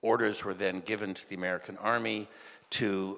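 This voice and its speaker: At a moderate pace, a man with a fairly low pitch speaks in a bright, sharp tone with fairly even intonation. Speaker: speaker. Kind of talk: conference talk. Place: hall. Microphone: handheld.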